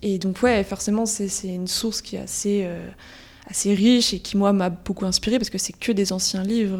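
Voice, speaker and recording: A woman speaks at a moderate pace with medium pitch. Her intonation is monotone and flat. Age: 20s. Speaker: type designer and calligrapher. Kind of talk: interview.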